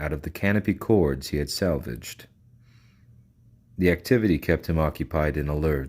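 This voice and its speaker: On a very clean recording with a silent background, the speech runs at a moderate pace. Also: man. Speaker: audiobook reader. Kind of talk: reading aloud. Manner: monotone.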